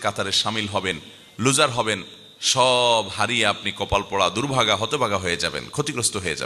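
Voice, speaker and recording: A man talks at medium pitch with ordinary pitch variation. Noticeable background noise runs underneath. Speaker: Islamic preacher. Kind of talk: Islamic sermon (waz) to a live audience. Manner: emphatic, rhetorical, repetitive.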